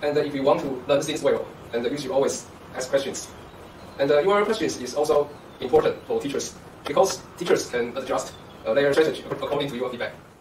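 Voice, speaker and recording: Amid noticeable background noise and audible room echo, a man with a Chinese accent talks at a very fast pace and fairly high pitch with ordinary pitch variation, broken up by long, frequent pauses. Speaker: university professor. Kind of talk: interview.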